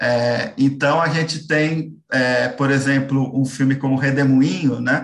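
Here a man talks at a fairly slow pace with a fairly high pitch. His voice is somewhat breathy, and the intonation stays fairly even. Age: 30s. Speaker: film critic. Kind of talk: interview.

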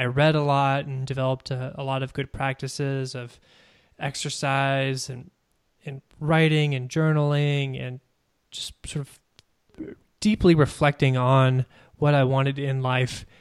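An American-accented man with a fairly high pitch talks in a monotone, flat intonation on a very clean recording with a silent background. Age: 20s. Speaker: podcast host and self-published author, returned Peace Corps volunteer. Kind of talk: casual interview chat. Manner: hesitant with fillers.

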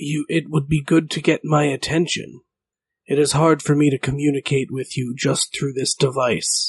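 A man uses a put-on character voice that is raspy and fairly high-pitched. He talks at a moderate pace. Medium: actual play. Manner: terse, solemn, cryptic.

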